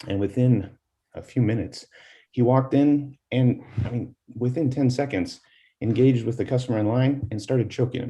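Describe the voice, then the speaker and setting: A somewhat breathy, dark, mellow voice with fairly even intonation and long, frequent pauses. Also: man. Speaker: advisory board member. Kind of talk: public board meeting discussion.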